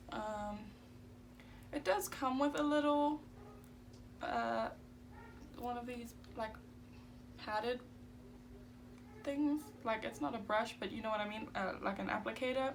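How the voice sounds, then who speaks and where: Fairly slow speech with long, frequent pauses and audible room echo. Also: woman, fairly high pitch for a woman, ordinary pitch variation. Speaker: beauty YouTuber. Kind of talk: makeup tutorial. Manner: casual, filler-heavy.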